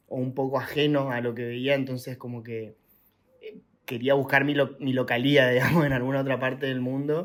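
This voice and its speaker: Speaking at a moderate pace with an Argentine accent, a man with a medium pitch keeps a monotone, flat intonation while his loudness swings widely. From Argentina. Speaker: traveller and content creator. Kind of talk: podcast interview. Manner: hesitant, many fillers.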